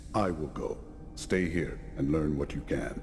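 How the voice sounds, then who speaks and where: A man's put-on character voice, very deep and low, solemn in tone and fairly slow, over loud background noise. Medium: video game. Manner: terse, solemn.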